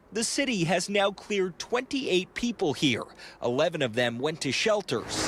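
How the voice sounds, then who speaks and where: With an American accent, the speaker talks at a fairly quick pace with very even loudness and very wide pitch swings, against noticeable background noise. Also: man. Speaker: TV news reporter and weekend anchor. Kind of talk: TV news reporter package and live stand-up.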